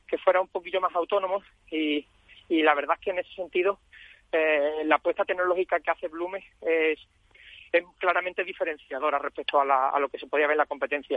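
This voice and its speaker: A man with a high voice talks at a very fast pace with ordinary pitch variation. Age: 30s. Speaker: franchisee, entrepreneur. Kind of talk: radio interview. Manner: halting, many repetitions.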